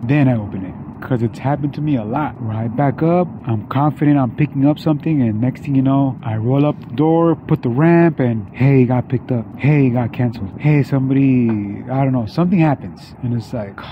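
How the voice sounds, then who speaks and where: Over noticeable background noise, a man speaks at a fairly quick pace with ordinary pitch variation, the sound dry with no echo. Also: hardly any pauses. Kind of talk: casual vlog chat. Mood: relaxed, explaining. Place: street. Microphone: phone near.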